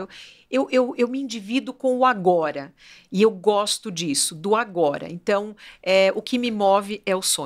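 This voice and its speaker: An ordinary speaking voice with lively intonation comes through on a very clean recording with a silent background. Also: woman. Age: 60s. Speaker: fashion business owner. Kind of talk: podcast interview.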